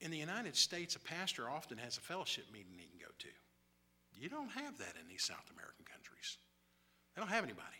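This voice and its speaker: Whispering at a very fast pace, a man leaves long, frequent pauses, and his loudness swings widely. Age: 60s. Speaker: missionary. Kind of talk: sermon. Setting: church.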